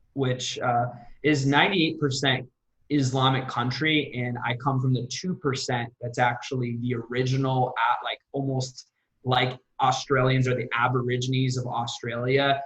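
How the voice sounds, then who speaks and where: In an American accent, the man's intonation is monotone and flat. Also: medium pitch for a man, moderate pace. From US, Assyrian Iraqi refugee family. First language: Aramaic. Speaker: sales coach and entrepreneur. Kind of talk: interview.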